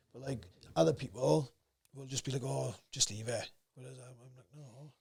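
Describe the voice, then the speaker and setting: A man with a South Wales accent talks at a moderate pace in a medium pitch, with ordinary pitch variation. His loudness swings a lot, and vocal fry shows up in his voice. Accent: South Wales valleys. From Wales, South Wales valleys. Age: 30s. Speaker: amateur fighter. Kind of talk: casual chat. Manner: can sound aggressive.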